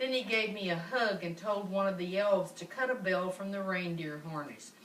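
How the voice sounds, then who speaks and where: A woman talks at a moderate speed, her pitch moving in an ordinary way, with noticeable background noise behind her. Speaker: grandmother reading to great-grandchildren. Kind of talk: children's story read-aloud.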